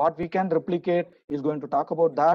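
A man's high-pitched voice with fairly even intonation over a quiet background. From India. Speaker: session moderator. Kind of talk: conference moderation and talk. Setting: online webinar. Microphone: video call.

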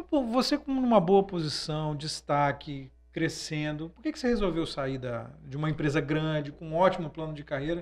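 A man's fairly high voice with lively intonation, big swings in loudness, a moderate pace and hardly any pauses. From Brazil. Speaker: podcast host. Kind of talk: interview. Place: studio. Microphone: studio mic.

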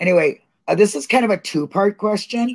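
A woman's voice with ordinary pitch variation against a quiet background. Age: 50s. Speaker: online show host. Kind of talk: casual chat. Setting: video call. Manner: animated. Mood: playful, warm. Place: home room.

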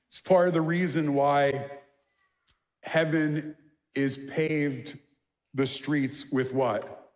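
A man with a New York accent speaks at a slow pace, his fairly high voice carrying a slightly mellow tone and fairly even intonation. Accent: New York American.

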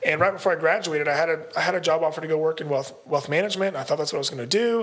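Very fast speech from a man over noticeable background noise. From Kentucky (Versailles). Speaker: real estate investor. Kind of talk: casual interview.

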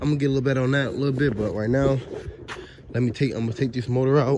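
Over noticeable background noise, a man talks with fairly even intonation. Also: dry sound with no echo. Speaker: car mechanic vlogger. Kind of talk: casual vlog chat. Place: street. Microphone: phone near.

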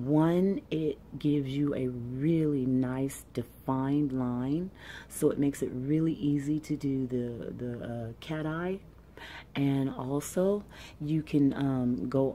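Soft-spoken, a woman talks very slowly in a very deep, low pitch with a dark, mellow tone and ordinary pitch variation. Light background noise can be heard. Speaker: ASMR beauty creator. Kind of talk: ASMR makeup unboxing and review, talking to camera.

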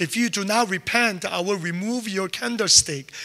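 Against a quiet background, a man projects a raised voice with a bright, sharp tone, ordinary pitch variation and a fairly slow pace. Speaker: preacher. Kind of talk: sermon. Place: church. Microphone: handheld.

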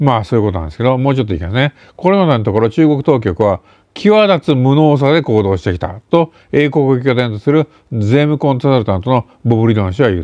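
Speaking at a very fast pace, a man with a medium pitch and a dark, mellow tone makes very wide pitch swings, with a dry sound that has no echo. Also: quiet background. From Japan. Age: 60s. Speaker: intelligence and geopolitics commentator; political commentator. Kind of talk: solo news commentary monologue. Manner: casual with many fillers. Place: home room. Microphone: webcam.

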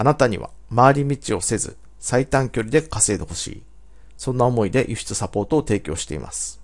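A man with vocal fry talks at a fairly quick pace, his intonation lively, against a quiet background. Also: medium pitch for a man. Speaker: business coach. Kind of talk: scripted narration.

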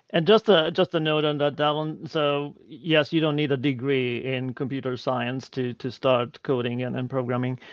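With a Hungarian accent, a man talks at a moderate pace with hardly any pauses, his pitch fairly high and its variation ordinary. The background is quiet and the sound dry, with no echo. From Hungary. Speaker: e-learning technology leader; guest. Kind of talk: Q&A interview. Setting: live video stream. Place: home room. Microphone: video call.

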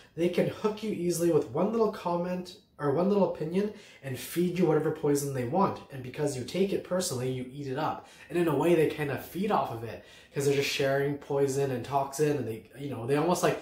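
Strong room echo surrounds a man speaking at a fairly quick pace and fairly high pitch, his slightly mellow tone carrying ordinary pitch variation.

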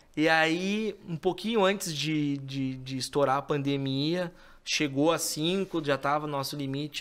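A man speaks with ordinary pitch variation. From southern Brazil, Porto Alegre; Rio Grande do Sul, Brazil. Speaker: lawyer. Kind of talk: interview on a podcast. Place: studio. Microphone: studio mic.

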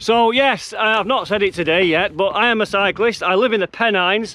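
The man has a high pitch and a fairly quick pace, with ordinary pitch variation. The sound is dry with no echo. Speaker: cycling vlogger. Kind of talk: casual vlog chat. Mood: cheerful, enthusiastic. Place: open country. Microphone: phone near.

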